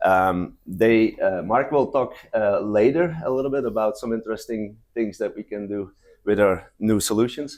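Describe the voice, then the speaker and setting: At a moderate pace, a man with a non-native accent speaks at a medium pitch with ordinary pitch variation, in a very clean recording with a silent background. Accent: noticeable non-native. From Belgium. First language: not English. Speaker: company presenter. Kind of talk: conference presentation. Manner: halting, many fillers.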